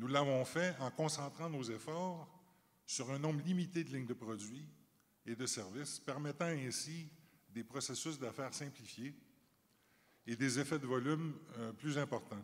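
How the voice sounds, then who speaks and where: A man with a Canadian French accent, fairly high in pitch, at a fairly slow pace with long, frequent pauses and ordinary pitch variation, in a very clean recording with a silent background. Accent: Canadian French accent, noted back in Canada. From Canada. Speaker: company chief executive. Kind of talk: panel discussion. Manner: formal.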